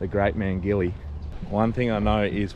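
A man's fairly low voice at a moderate pace, dry with no echo, over light background noise. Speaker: fishing vlogger. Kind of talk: casual vlog chat. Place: street. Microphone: phone near.

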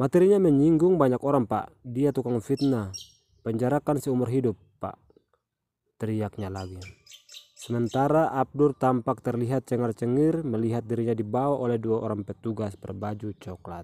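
In a dry, close sound with no echo, a man with a dark, mellow tone speaks at medium pitch and a moderate pace, with ordinary pitch variation. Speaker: news narrator. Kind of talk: news reading, scripted narration. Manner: formal, even, steady.

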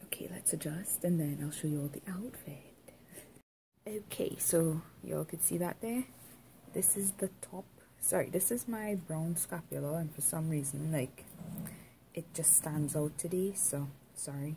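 Somewhat breathy and dark, mellow in tone, a woman speaks at a fairly low pitch and a moderate pace with ordinary pitch variation, long, frequent pauses and light background noise. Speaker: vlogger. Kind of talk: casual vlog chat. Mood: relaxed, playful. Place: home room.

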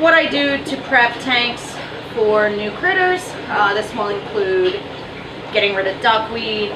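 A woman talks fairly slowly, her pitch varying in an ordinary way, while noticeable noise sounds in the background. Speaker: aquarium fish seller. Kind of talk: casual vlog chat. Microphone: camera far.

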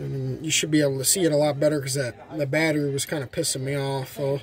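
A man speaks with monotone, flat intonation against light background noise. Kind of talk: casual tutorial. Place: street. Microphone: phone near.

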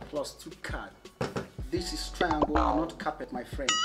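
A man is speaking. Loud music plays in the background. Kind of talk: comedy skit dialogue. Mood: mock exasperated, scolding. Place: home room.

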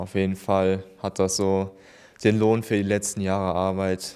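A man speaks in a dark, mellow, fairly low voice, monotone and at a moderate pace, over a quiet background. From Germany, Remscheid; Germany. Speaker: paralympic swimmer; interviewee. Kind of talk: interview. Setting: town hall. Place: office. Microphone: handheld.

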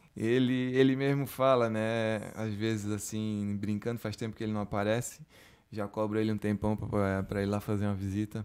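Over a quiet background, a man speaks at a moderate pace in a fairly low, monotone voice with flat intonation. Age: 30s. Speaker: chef and restaurant owner; podcast guest. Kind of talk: casual interview. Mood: relaxed, friendly. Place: studio. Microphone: studio mic.

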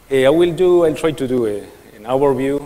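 In a Spanish accent, a man speaks with ordinary pitch variation, with audible room echo and noticeable background noise. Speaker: software developer / conference speaker. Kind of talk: conference talk. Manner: slow; halting.

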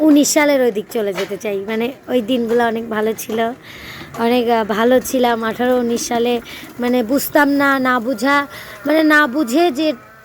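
A woman's high-pitched voice with ordinary pitch variation, over noticeable background noise. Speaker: vlogger. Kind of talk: casual vlog monologue. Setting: outdoors. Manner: hesitant, filler-heavy.

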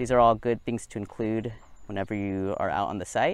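The recording has a dry sound with no echo. The speaker is a man. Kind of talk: tutorial. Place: open country. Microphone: lapel.

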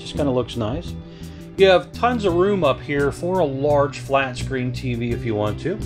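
A man talks at a moderate pace while music plays clearly in the background. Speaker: RV reviewer. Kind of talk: walkthrough tour commentary. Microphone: phone near.

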